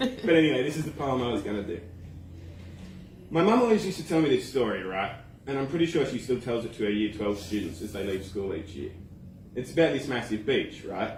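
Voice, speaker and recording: In an Australian accent, the speech runs at a very fast pace with very wide pitch swings. Long, frequent pauses break it up. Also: man, medium pitch for a man. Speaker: slam poet. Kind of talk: slam poetry performance. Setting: live open mic.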